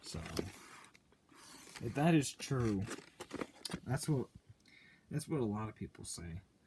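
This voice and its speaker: A somewhat breathy man at a moderate pace with lively intonation. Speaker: VHS collector video host. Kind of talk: casual unboxing commentary.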